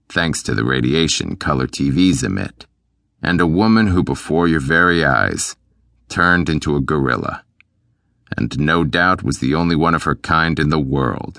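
A man speaks at a very deep, low pitch with vocal fry and a bright, sharp tone. His loudness stays very even, his pace moderate and his pitch variation ordinary against a quiet background. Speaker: audiobook narrator. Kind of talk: audiobook narration, first-person hitman. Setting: studio.

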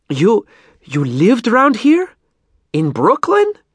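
Using a put-on character voice, a man talks slowly and high for a man, with very wide pitch swings, a slightly husky edge and a dry, close sound with no echo.

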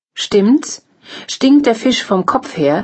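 The speaker is a woman with a somewhat breathy voice. Her intonation is lively. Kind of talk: formal news reading of headlines. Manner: formal, brisk, even-paced; neutral, announcer-like delivery.

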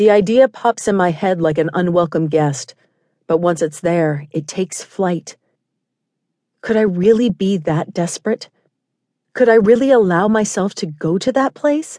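The woman's tone is dark and mellow, with lively intonation. She speaks at a moderate pace, and the sound is dry and close with no echo. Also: medium pitch for a woman. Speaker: audiobook narrator. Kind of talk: audiobook narration, first-person romance. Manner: intimate, measured storytelling with a tense, desperate tone.

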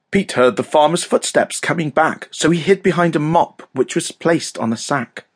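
In a dramatic, playful tone with a British accent, the speaker keeps a moderate pace with hardly any pauses and ordinary pitch variation. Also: man, fairly high pitch for a man. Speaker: audiobook narrator. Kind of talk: scripted children's audiobook narration, read aloud in rhyming verse. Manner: dramatic, sing-song storyteller cadence with playful emphasis on the rhymes; animated and expressive, suited for young children.

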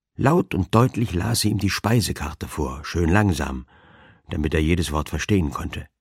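Vocal fry marks a man's very deep, low voice with lively intonation. The recording is very clean and dry, close with no echo, over a silent background. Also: moderate pace. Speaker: audiobook narrator. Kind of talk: dramatic audiobook narration, reading aloud a humorous crime story. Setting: studio. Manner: animated, playful character voices, drily comic; mimics fussy elderly ladies and a pompous dowager, dramatic pauses.

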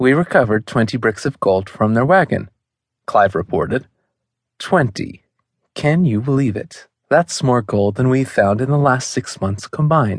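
Against a quiet background, a man with a normal speaking voice talks at medium pitch and a moderate pace, with lively intonation. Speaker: audiobook narrator.

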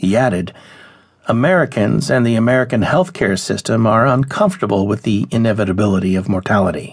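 A man talks with lively intonation and vocal fry. His loudness stays very even. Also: fairly low pitch for a man, fairly quick pace. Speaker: audiobook narrator. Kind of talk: audiobook reading of a news article, scripted narration. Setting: studio. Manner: formal, even, measured; clear and steady, informative, neutral.

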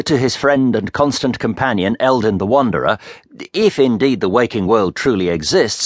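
What comes through is a natural reading voice.

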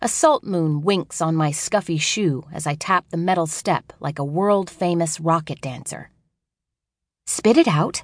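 Over a quiet background, a woman with a fairly low pitch speaks in an unremarkable speaking voice at a fairly slow pace, with ordinary pitch variation. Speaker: audiobook narrator. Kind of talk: dramatic first-person audiobook narration of a child's voice. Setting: studio. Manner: playful, wide-eyed childlike storytelling; shifts into distinct voices for adult characters.

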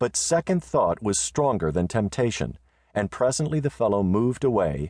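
This plain reading aloud has lively intonation.

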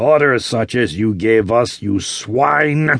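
A put-on character voice sounds shaky and moves at a very slow pace. Its pitch varies in an ordinary way. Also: man. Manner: frenzied, furious, quivering.

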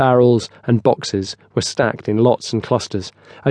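Fairly even intonation in plain reading aloud

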